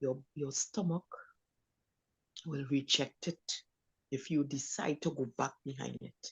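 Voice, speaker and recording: At a very slow pace, the speaker talks in a somewhat breathy voice. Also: woman. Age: 60s. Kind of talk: panel discussion. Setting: live stream.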